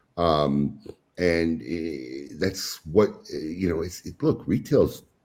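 A man speaks with a very deep, low pitch and vocal fry. His tone is dark and mellow. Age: 50s. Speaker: cigar retailer. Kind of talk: casual chat.

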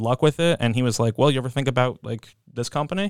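With an American accent, a man speaks in a normal speaking voice with ordinary pitch variation on a very clean recording with a silent background. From New Jersey. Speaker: hotel industry worker. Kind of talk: casual chat. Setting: studio.

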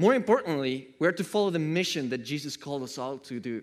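A man with a non-native accent speaks at a fairly quick pace in an animated tone, with ordinary pitch variation. The recording is very clean, with a silent background. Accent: noticeable foreign. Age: 30s. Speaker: preacher. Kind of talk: sermon. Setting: church.

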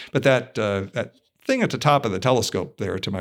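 A man speaks with an American accent at a very fast pace. His voice sits fairly low. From Ohio, US. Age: 60s. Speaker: physics and astronomy professor. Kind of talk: casual interview. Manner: hesitant with many fillers.

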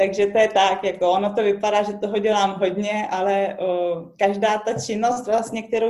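Moderate pace and fairly even intonation from a woman at a medium pitch. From Czech Republic. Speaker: recycling workshop owner and biologist. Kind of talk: interview. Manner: halting.

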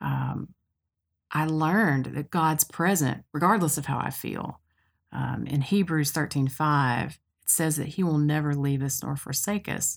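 In a Tennessee accent, a woman speaks fairly slowly at a very deep, low pitch on a very clean recording with a silent background. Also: ordinary pitch variation. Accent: US Southern (Tennessee). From Middle Tennessee (Cookeville). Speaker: podcast host. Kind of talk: casual chat.

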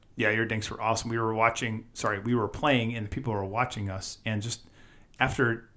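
Speaking at a moderate pace with a Wisconsin accent, a man keeps a medium pitch and a monotone, flat intonation. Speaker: podcast co-host. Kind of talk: casual chat.

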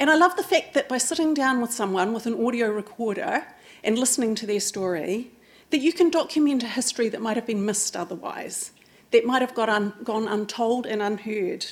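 Speaking at a fairly quick pace in a New Zealand accent, the voice carries lively intonation. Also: woman, fairly high pitch for a woman. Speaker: oral historian. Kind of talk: public talk. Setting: stage with audience.

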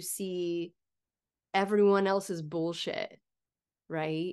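A woman with an American accent speaks at a very slow pace. The background is quiet. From USA. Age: 40s. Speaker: podcast host. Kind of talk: interview conversation; scripted outro.

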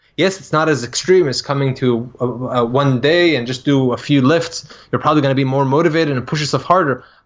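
Very fast and fairly even in intonation, a man speaks at a fairly high pitch. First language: not English. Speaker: combat sports coach. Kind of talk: casual chat.

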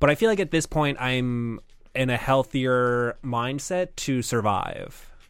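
A plain, everyday voice from a man, medium in pitch with ordinary variation, at a fairly slow pace on a very clean recording with a silent background. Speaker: producer, guest. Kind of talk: casual comedy chat about investing.

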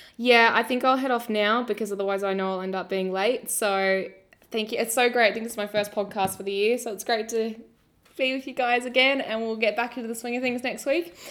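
A woman with an Australian accent talks at a fairly quick pace, fairly high in pitch, with fairly even intonation. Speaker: podcast co-host. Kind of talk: casual chat. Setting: online call.

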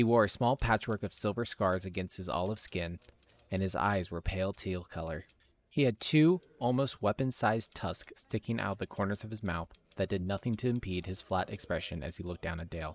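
In an unremarkable speaking voice, a man talks fairly quickly at a fairly low pitch with ordinary pitch variation, on a very clean, silent-background recording that sounds dry and close, with no echo. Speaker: game master and narrator. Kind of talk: fantasy narration reading, dramatic storytelling of scripted lore. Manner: casual and friendly in the intro.

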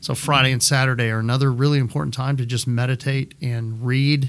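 An ordinary speaking voice from a man with an American accent, delivered at a moderate pace with fairly even intonation. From West Texas (Midland). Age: 40s. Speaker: pastor. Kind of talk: casual chat.

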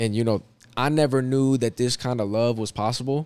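A man speaks in a normal speaking voice at a moderate pace with ordinary pitch variation, on a very clean recording with a silent background. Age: 30s. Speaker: former pro basketball player, recruiting manager. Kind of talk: casual chat.

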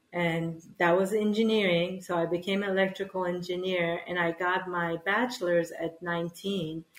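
Fairly low in pitch, a woman speaks in a monotone, flat way. Her pace is fairly slow, with hardly any pauses. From Iran, moved to US as child. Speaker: spiritual healer and former electrical engineer. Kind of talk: interview.

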